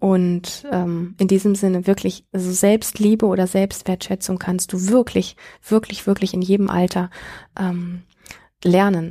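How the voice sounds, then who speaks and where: At a fairly slow pace, a woman speaks at a medium pitch with monotone, flat intonation in a very clean recording with a silent background. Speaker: podcast host, self-worth coach. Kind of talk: advice monologue. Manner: smiling, warm.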